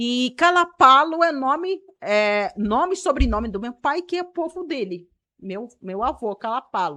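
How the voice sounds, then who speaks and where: A woman's raised, projected voice, high-pitched and bright and sharp in tone, with very wide pitch swings and a fairly slow pace, against a quiet background. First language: Karib (Kalapalo) (speaking Portuguese). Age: 30s. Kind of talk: podcast interview. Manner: hesitant, many fillers.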